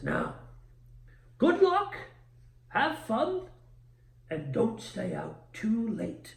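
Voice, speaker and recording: A man puts on a high-pitched character voice and speaks very slowly. Long, frequent pauses break it up, with a slight echo around him. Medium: actual play. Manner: kindly, patient.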